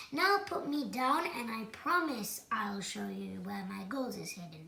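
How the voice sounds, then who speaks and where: A woman puts on a rumbling character voice at a fairly high pitch. She speaks at a fairly slow pace. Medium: read story. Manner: crafty, grumbling.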